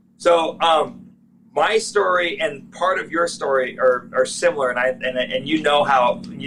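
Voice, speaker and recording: A man with a fairly high voice talks at a moderate speed while noticeable noise runs in the background. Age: 40s. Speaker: off-road parts business owner. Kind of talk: interview.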